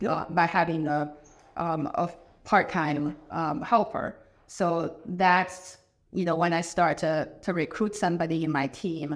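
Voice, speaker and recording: A woman speaks with a Chinese accent at a fairly slow pace. Her fairly low voice keeps fairly even intonation. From China. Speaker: business owner, ERP consultant. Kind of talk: casual interview conversation.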